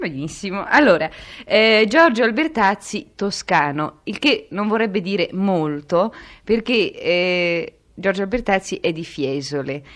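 A woman's medium-pitched voice with very wide pitch swings at a very slow pace, over a quiet background. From Tuscany, near Grosseto. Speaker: radio interviewer. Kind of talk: radio interview.

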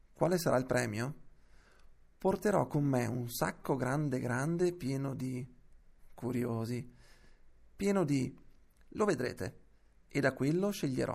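The man's voice sits at a medium pitch with ordinary pitch variation. He speaks at a fairly slow pace, with long, frequent pauses. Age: 30s. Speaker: reader of historical letters. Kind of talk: reading aloud.

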